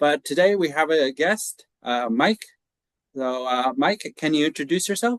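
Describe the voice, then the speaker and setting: With an American accent, a man in a normal speaking voice talks at a fairly slow pace, his fairly high pitch and lively intonation caught in a dry, close sound with no echo. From United States. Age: 40s. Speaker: podcast host. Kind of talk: interview.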